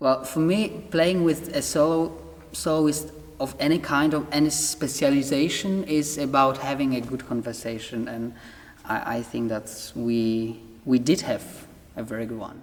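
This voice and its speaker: Speaking at a moderate pace with ordinary pitch variation, the voice comes through over noticeable background noise. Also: man, fairly high pitch for a man. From Poland. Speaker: orchestra conductor. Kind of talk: interview.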